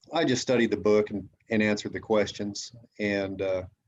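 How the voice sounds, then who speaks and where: With fairly even intonation, a man speaks in an ordinary speaking voice. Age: 60s. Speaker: amateur radio operator. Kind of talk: casual chat.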